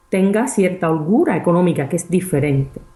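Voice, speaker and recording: A woman with a dark, mellow, somewhat breathy tone speaks at a medium pitch and a moderate pace. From Cuba. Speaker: research scientist and property investor. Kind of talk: interview.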